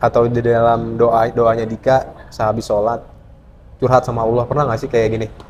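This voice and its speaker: Noticeable background noise runs under this recording. A man talks at a fairly quick pace in monotone, flat intonation. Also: medium pitch for a man. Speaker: podcast host. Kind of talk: casual podcast interview.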